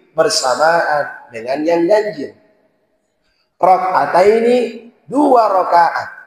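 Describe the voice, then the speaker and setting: Very slowly, a man speaks at a high pitch with very wide pitch swings. Room echo is audible. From Sulawesi, Indonesia (born in Poso). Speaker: Islamic preacher. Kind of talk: sermon.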